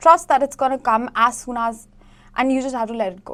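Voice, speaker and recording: A woman speaks with a high pitch. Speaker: tarot reader. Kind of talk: tarot reading to camera. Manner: fast.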